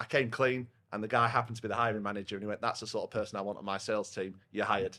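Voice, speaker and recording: Loud and very fast, a man with a Yorkshire accent speaks in a fairly low pitch with a bright, sharp tone and monotone, flat intonation. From northern England, Yorkshire (Rotherham). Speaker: head of partnerships at a software vendor. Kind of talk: casual podcast chat. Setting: pub.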